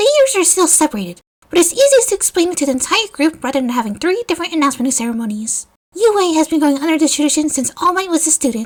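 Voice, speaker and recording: Using a squeaky, put-on character voice at an extremely high pitch, a woman talks at a very fast pace. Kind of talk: formal speech to an assembly. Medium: read story.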